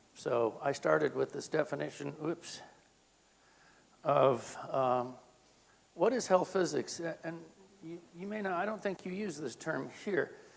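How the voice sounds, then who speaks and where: A man with an American accent at a fairly slow pace, long, frequent pauses and noticeable background noise throughout. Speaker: health physicist. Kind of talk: lecture. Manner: deliberately slowed.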